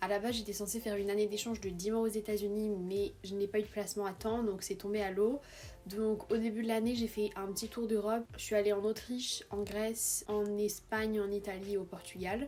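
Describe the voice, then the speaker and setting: This woman has a dark, mellow tone and a medium pitch. Her pace is fairly quick. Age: 20s. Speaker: vlogger, exchange student. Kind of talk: casual vlog Q&A. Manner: animated.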